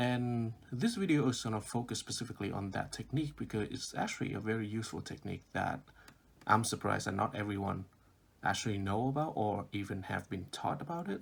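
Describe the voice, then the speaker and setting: Talking at a very fast pace, a man with a non-native accent shows ordinary pitch variation. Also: medium pitch for a man. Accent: non-native, foreign. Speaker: math tutor. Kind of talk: math tutorial explanation.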